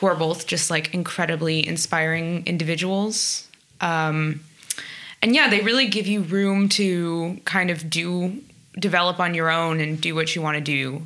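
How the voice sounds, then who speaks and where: A woman talks in a New Jersey accent at a moderate pace. Her pitch is fairly low, with ordinary variation. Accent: American (New Jersey). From US, New Jersey (South Orange). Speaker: jazz trumpet player. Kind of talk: casual interview.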